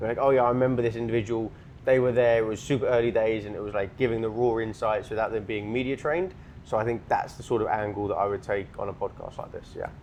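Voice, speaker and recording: A man with a British accent at a very fast pace, fairly even in intonation, over noticeable background noise. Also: medium pitch for a man. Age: 20s. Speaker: entrepreneur, sales. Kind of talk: casual podcast chat.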